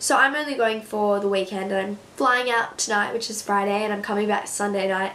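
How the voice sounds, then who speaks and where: Speaking at a fairly quick pace with hardly any pauses, a woman with an Australian accent keeps a medium pitch and fairly even intonation, with noticeable background noise and audible room echo. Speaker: beauty vlogger. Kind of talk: casual chat.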